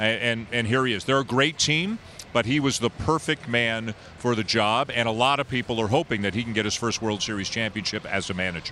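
The man has a plain, everyday voice at a medium pitch. He speaks at a fairly quick pace with ordinary pitch variation. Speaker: baseball play-by-play broadcaster. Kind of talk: casual sports interview. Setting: remote call with echo.

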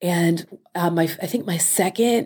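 A woman with a plain, everyday voice speaks at a fairly low pitch with ordinary pitch variation, in a very clean recording with a silent background. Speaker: food editor and author. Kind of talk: casual interview chat.

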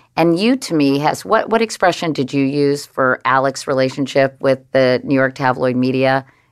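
Pitch rises and falls in an ordinary way at a moderate tempo. Nothing much is heard behind the voice. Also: woman, very deep, low pitch for a woman. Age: 60s. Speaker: interviewer. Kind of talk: interview.

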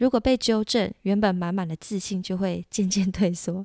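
On a very clean recording with a silent background, a woman speaks in a Taiwanese accent. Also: dry, close sound with no echo. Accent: Taiwanese Mandarin. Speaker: podcast host, French tutor. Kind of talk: language lesson. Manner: warm, encouraging.

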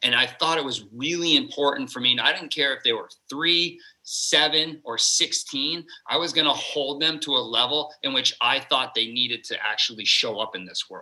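In an American accent, a man with a plain, everyday voice talks at a moderate pace and fairly high pitch, his pitch varying in an ordinary way. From Vermont, US. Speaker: fitness coach. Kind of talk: casual chat.

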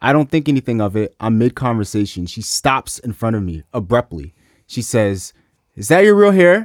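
A man with an American accent speaks at a moderate pace and medium pitch with lively intonation, in an unremarkable speaking voice. The recording is very clean with a silent background and a dry, close sound with no echo. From US South, Memphis, Tennessee. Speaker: hip-hop artist. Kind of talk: casual chat.

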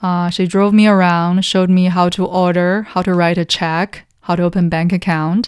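A woman with a Chinese accent speaks at a moderate pace in a fairly low voice. Her intonation is monotone and flat, her loudness very even, and the background quiet. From China, Taiyuan (Shanxi). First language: Mandarin Chinese. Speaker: economist analyst. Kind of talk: interview conversation. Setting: studio.

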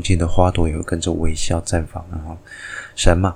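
A soft-spoken man's very deep, low voice in monotone, flat intonation. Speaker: astronomy and mythology podcast host. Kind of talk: solo storytelling and explainer.

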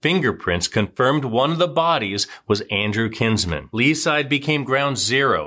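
Over a very clean, silent background, a man with a medium-pitched, bright, sharp voice and vocal fry speaks dramatically at a moderate pace, his intonation lively and his loudness very even, with hardly any pauses. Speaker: true crime narrator. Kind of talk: true-crime narration, scripted recap of a serial killer case. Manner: brisk, dramatic, storytelling.

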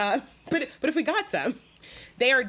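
This voice has a Southern US accent. The intonation is lively. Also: woman. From US South, South Carolina. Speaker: food writer. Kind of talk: casual chat.

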